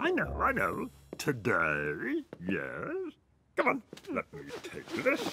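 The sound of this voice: A man puts on a cartoonish character voice, high in pitch with a bright, sharp tone and a slightly husky edge. He speaks at a slow pace with very wide pitch swings.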